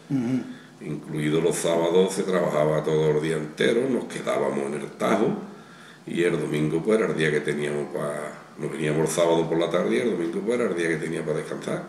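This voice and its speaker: A man speaks at a fairly quick pace with a very deep, low pitch. Audible room echo and light background noise are present. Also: ordinary pitch variation. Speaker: retired construction businessman. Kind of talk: interview. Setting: outdoors. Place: home room. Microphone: camera far.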